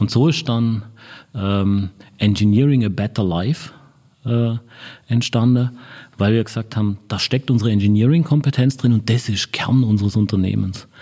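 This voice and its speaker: A man's dark, mellow voice at medium pitch and moderate pace, with ordinary pitch variation, long, frequent pauses, and a very clean recording over a silent background. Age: 50s. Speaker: marketing director. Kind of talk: interview. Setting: in person at an agency office.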